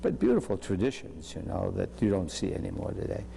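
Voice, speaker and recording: A man speaks at a moderate pace with a very deep, low pitch. His dark, mellow tone carries vocal fry. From Salem, Massachusetts. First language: French. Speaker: physician. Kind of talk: interview. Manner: halting.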